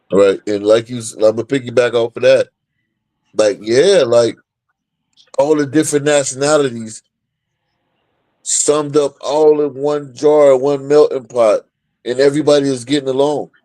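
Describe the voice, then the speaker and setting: With a dark, mellow tone and a fairly high pitch, a man speaks at a moderate pace with fairly even intonation and long, frequent pauses. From Ohio, US. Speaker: professional boxer. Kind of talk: casual interview chat.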